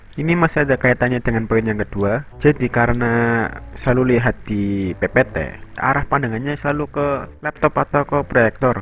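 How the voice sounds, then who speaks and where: With music playing behind him, a man speaks fairly quickly at a medium pitch with ordinary pitch variation. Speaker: animator and storyteller. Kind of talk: storytelling narration. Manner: casual.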